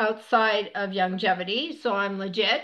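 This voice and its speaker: With a normal speaking voice, a woman talks at a moderate pace in fairly even intonation. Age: 60s. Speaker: wellness coach. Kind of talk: online presentation. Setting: screen-share presentation. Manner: casual.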